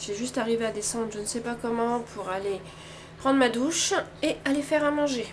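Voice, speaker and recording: Audible room echo and noticeable background noise surround the recording. A woman speaks fairly quickly at a fairly high pitch. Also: ordinary pitch variation. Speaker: craft vlogger. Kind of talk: casual vlog talk. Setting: at home.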